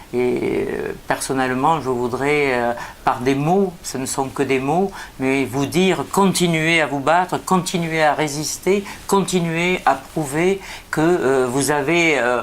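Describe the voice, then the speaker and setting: With ordinary variation in pitch, the delivery is very slow. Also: woman, very deep, low pitch for a woman. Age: 60s. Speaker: politician. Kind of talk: prepared statement. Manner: hesitant, many filler sounds.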